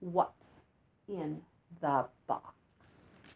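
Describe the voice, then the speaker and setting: This woman puts on a growling character voice. Her pitch is very deep and low. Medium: read story. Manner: sly, menacing.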